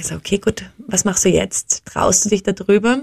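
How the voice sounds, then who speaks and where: A woman with an unremarkable speaking voice, moderate pace, dry, close sound with no echo. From Austria. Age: 30s. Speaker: social entrepreneur, founder of a tour company. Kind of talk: interview.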